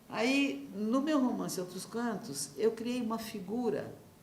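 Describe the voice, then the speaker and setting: A woman is heard with audible room echo. Noticeable background noise is also present. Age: 70s. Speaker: novelist. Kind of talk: interview. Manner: halting.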